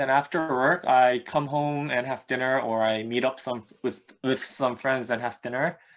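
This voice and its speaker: A man talks in a fairly high voice. Nothing is heard in the background. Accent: Korean. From South Korea (Seoul), childhood partly in Egypt and Dubai. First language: Korean. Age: 20s. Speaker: mobile app designer. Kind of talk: casual interview chat.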